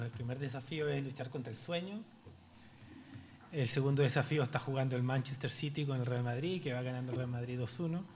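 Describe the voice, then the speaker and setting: There is audible room echo as a man speaks at a fairly quick pace in a fairly high, somewhat breathy voice with ordinary pitch variation. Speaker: panelist, pension specialist at development bank. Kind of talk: conference presentation. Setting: stage with audience. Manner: fast.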